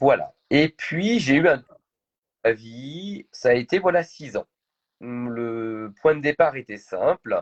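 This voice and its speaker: A man with a fairly high pitch and lively intonation speaks very slowly with long, frequent pauses. The sound is dry and close with no echo. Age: 40s. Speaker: entrepreneur. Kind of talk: interview. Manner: hesitant, many fillers.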